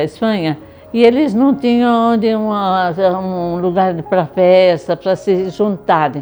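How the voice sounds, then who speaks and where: Over music in the background, a woman talks at a fairly slow pace in a medium pitch with ordinary pitch variation. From Brazil, Cafelândia (São Paulo interior). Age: 80s+. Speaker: retired teacher and artisan. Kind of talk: interview testimony. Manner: halting, repeating words.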